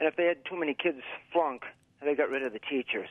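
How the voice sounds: Speaking at a fast pace, a man with a fairly high pitch and ordinary pitch variation talks with an American accent.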